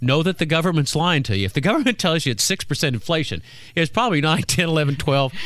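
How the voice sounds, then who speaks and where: Fairly high-pitched, a man speaks at a very fast pace with lively intonation and vocal fry. His loudness stays very even. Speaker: financial radio host. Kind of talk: casual radio chat. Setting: radio studio.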